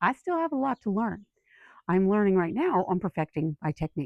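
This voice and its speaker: Fairly quick speech from a woman in a plain, everyday voice. Her pitch sits at a medium level. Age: 50s. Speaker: lifestyle YouTuber. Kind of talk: casual chat. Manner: conversational, with fillers and restarts.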